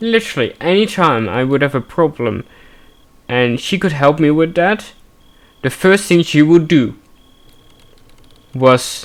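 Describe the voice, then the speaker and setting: A man at a fairly slow pace, with lively intonation. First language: Dutch. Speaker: gaming streamer. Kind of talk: let's play commentary with personal reflection. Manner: halting.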